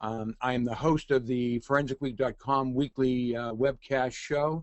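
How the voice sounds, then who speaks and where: This man talks with a Boston accent. His intonation stays fairly even. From Boston, Massachusetts. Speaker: forensic consultant and adjunct professor, webinar host. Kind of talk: webinar presentation. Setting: online webinar. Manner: hesitant, many fillers.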